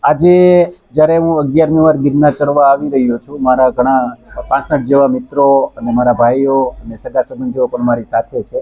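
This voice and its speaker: Fairly high in pitch, a man speaks in an unremarkable speaking voice with fairly even intonation. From Gujarat, Amreli district. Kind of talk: interview.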